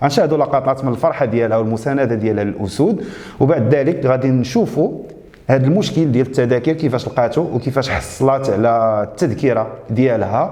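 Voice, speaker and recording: A man with a Moroccan accent, medium pitch and ordinary pitch variation at a moderate pace, over noticeable background noise. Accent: Moroccan Arabic (Darija). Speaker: YouTube show host. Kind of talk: casual presentation. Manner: hesitant, with fillers.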